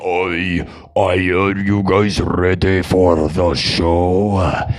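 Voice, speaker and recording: A man speaks in a put-on character voice, guttural and very deep, at a very slow pace. His intonation stays monotone and flat, with clear background noise behind him. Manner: gruff, growling.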